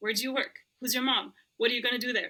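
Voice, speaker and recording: A woman speaks with an Arabic accent. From Lebanon. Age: 30s. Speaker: roller skater and former pharmacist. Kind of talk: podcast interview.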